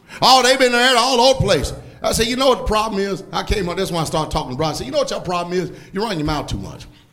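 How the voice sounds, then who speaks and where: A man's high, animated voice with a Southern US accent, very fast pace and very wide pitch swings, amid noticeable background noise. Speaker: preacher. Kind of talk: sermon. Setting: church with congregation. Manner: animated, emphatic, call-and-response with the congregation; blunt, scolding yet joking.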